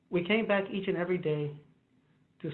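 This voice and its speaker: A man talking at a fairly quick pace, fairly even in intonation, with audible room echo. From US, Chicano (Mexican-American). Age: 50s. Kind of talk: panel discussion. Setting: video call from his office. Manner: fast.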